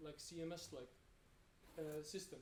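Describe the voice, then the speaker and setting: A man speaks at a moderate pace with an Icelandic accent. His fairly high voice stays fairly even in intonation, and the room echo is audible. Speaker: web developer. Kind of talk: conference talk. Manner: halting, many fillers and repetitions.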